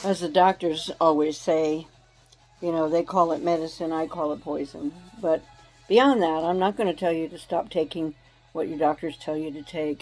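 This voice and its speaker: Over music in the background, a woman with a fairly low pitch speaks at a moderate pace, her intonation fairly even and her loudness swinging widely. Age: 70s. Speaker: elderly health and wellness advisor. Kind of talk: casual health advice talk to camera.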